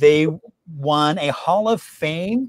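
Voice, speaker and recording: Lively intonation and an enthusiastic, upbeat tone mark this man's high-pitched voice. The sound is dry with no echo, and the background is quiet. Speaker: host of a history trivia show; local historian. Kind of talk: presentation talk to an online audience. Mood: enthusiastic, friendly. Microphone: video call.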